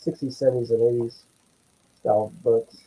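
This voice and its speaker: A man's voice comes across dry and close with no echo, at a moderate speed. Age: 60s. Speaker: comic book collector. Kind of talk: casual chat.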